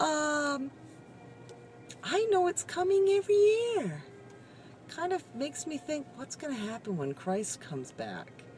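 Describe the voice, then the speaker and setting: A woman's pitch swings very widely. Noticeable background noise is present. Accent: American. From Massachusetts, Cape Cod. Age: 40s. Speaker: retail worker vlogger. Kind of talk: casual vlog monologue. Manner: rambling, conversational.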